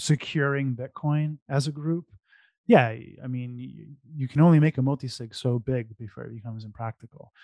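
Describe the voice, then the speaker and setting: An unremarkable speaking voice, this man talks at a moderate pace and medium pitch with fairly even intonation and big swings in loudness, the sound dry and close against a quiet background. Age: 40s. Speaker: bitcoin entrepreneur. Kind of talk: casual chat.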